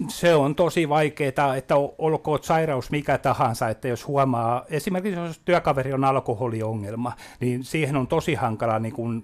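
A man speaks at a medium pitch. His pace is moderate and his pitch variation ordinary. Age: 50s. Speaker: memory disease patient advocate. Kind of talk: radio interview. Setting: studio. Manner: halting.

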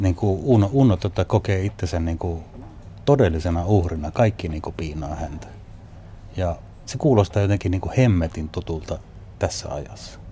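Speaking at a moderate pace, a man with a very deep, low, somewhat breathy voice and a dark, mellow tone uses lively intonation, big swings in loudness, and long, frequent pauses. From Northern Finland, Northern Ostrobothnia. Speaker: documentary filmmaker. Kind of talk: interview.

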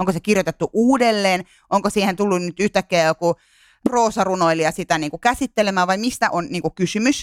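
On a very clean recording with a silent background, the speech moves at a fairly quick pace. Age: 30s. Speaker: podcast co-host. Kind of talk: casual chat about media.

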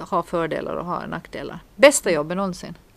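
This woman's voice carries vocal fry. It sits at a fairly low pitch. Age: 40s. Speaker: podcast co-host, priest. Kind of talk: casual chat.

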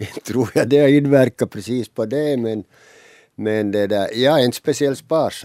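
A man talks at a fairly slow pace in a medium pitch with a dark, mellow tone and ordinary pitch variation, captured in a very clean, dry, close recording with a silent background and no echo. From Finland, Ostrobothnia. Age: 70s. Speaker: pensioner. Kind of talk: interview. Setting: studio.

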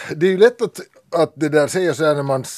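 A man speaks in an ordinary speaking voice. It sits fairly high in pitch. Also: dry, close sound with no echo. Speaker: teacher. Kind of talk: casual chat.

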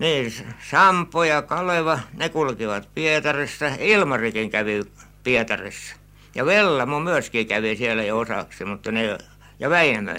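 At a fairly slow pace, a man speaks at medium pitch in a bright, sharp tone with very wide pitch swings. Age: 80s+. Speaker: retired canal keeper. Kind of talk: informal interview recollection. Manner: slow, rambling, halting.

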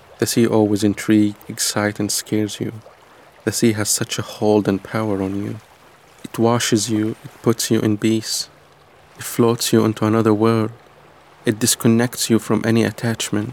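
Over noticeable background noise, a man talks at a moderate pace in a fairly low, monotone, flat voice. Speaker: monologue performer. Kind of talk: spoken-word monologue, intimate second-person narration.

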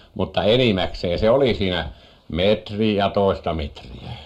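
With vocal fry, a man speaks at a very deep, low pitch and lively intonation. His pace is very slow. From Finnish Lapland, Muonio. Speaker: farmer and fisherman. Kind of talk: radio interview.

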